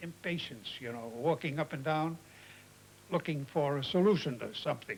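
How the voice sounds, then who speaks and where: A somewhat breathy man with a fairly high pitch talks at a moderate pace, with big swings in loudness. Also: ordinary pitch variation. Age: 80s+. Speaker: animator. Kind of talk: interview answer.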